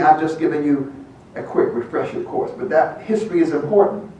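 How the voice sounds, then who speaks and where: A man's high-pitched voice with an American accent, lively intonation and a fairly quick pace, plus noticeable background noise and audible room echo. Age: 80s+. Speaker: veteran activist and speaker. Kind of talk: speech. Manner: impassioned.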